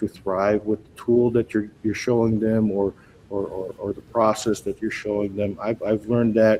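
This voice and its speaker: This man has a dark, mellow voice at a medium pitch. He speaks at a moderate pace with fairly even intonation. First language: not English. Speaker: school technology director. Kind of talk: live show interview. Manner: halting, many repetitions.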